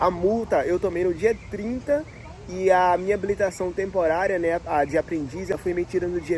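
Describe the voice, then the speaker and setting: Over noticeable background noise, a man speaks at a moderate pace with a high pitch. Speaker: immigrant vlogger. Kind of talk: casual storytelling vlog. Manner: informal, chatty.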